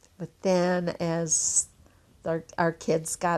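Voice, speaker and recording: A woman with a Midwestern American accent talks at a very slow pace. Her very deep, low voice stays monotone and flat. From Elkhart, Indiana, Italian neighborhood. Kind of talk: interview answer.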